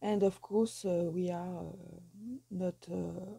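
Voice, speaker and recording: Speaking at a very slow pace, a woman with a strong non-native accent uses a medium pitch. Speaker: soap-making youtuber. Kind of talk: tutorial. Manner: halting, many filler 'uh's.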